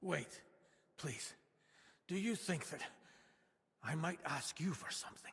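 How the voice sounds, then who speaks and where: In a put-on character voice, a man sounds raspy and high for a man, moving at a fairly slow pace with long, frequent pauses. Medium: video game. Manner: gentle, earnest.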